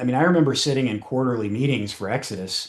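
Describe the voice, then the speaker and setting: This man has an American accent, a medium pitch and a fairly quick pace. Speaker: cybersecurity association president. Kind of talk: podcast interview. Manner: many fillers and false starts.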